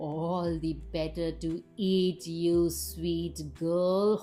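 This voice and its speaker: With music in the background, a woman uses a put-on character voice, growling at a fairly low pitch. She speaks at a very slow pace in a sinister tone. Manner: growling, sinister.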